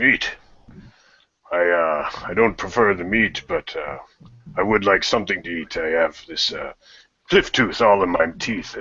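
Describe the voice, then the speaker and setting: In a put-on character voice, a man with a fairly low pitch speaks at a moderate pace, leaving long, frequent pauses. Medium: actual play. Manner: hesitant, halting.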